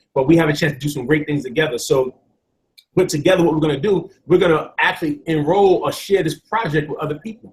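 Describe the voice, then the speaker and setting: Someone talks at a very fast pace in a New York accent, with ordinary pitch variation. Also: man, fairly high pitch for a man. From New York City (Bronx). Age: 40s. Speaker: network marketing presenter. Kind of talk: sales pitch.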